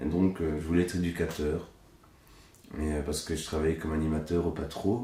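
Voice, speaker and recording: A man with a Belgian accent, very deep, low pitch, a dark, mellow tone and a somewhat breathy sound, in audible room echo. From Belgium, Hainaut (La Buissière). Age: 30s. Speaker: puppeteer. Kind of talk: casual interview. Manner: casual, hesitant with fillers.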